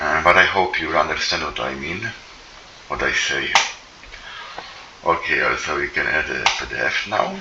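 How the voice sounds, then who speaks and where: A man speaks at a moderate pace, leaving long, frequent pauses. Room echo is audible, and background noise is noticeable. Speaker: software developer. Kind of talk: tutorial. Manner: halting, many fillers.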